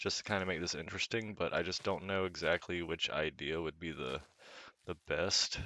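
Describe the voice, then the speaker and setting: This man has a very deep, low pitch. His tone is relaxed yet bright and sharp. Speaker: gaming video creator. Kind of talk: casual gameplay commentary. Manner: relaxed, conversational.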